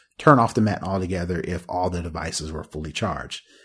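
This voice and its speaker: In a very clean recording with a silent background, a man speaks at a very fast pace in a very deep, low voice that is somewhat breathy, with ordinary pitch variation. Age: 40s. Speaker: tech podcast host. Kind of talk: casual chat. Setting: live video stream.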